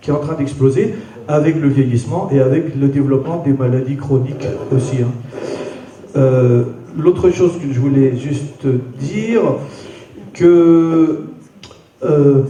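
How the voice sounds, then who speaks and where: Amid noticeable background noise and audible room echo, a man speaks at a fairly high pitch and a fairly slow pace with long, frequent pauses and ordinary pitch variation. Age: 60s. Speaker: audience member. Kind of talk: public debate. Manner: halting.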